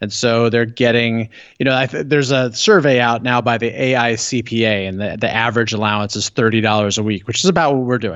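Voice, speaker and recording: With a General American accent, a man talks at a fairly quick pace in a plain, everyday voice at medium pitch with ordinary pitch variation. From Los Angeles. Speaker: author and financial literacy educator. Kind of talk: interview.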